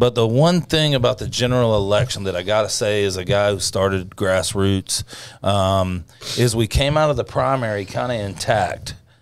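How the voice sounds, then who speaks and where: With a plain, everyday voice, a man speaks at a moderate pace, his fairly low pitch carried by lively intonation. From US South. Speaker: political grassroots organizer. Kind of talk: casual political chat.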